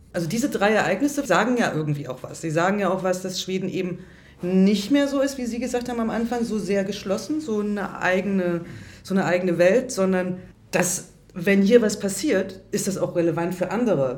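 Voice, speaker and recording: A woman's medium-pitched voice, fairly quick with lively intonation, with audible room echo and noticeable background noise. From Germany. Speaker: radio journalist, interviewer. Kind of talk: interview. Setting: restaurant.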